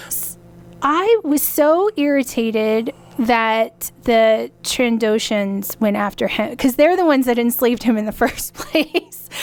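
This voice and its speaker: With an American accent, a woman speaks at a high pitch and a fairly slow pace, her pitch varying in an ordinary way. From Colorado, US. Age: 40s. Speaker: podcast sponsor and co-host. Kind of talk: casual chat. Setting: studio. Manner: animated.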